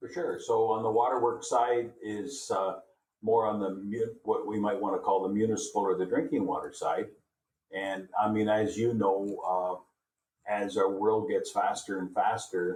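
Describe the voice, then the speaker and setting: A man with a Canadian accent at a moderate pace. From Canada. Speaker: industry manager. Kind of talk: interview.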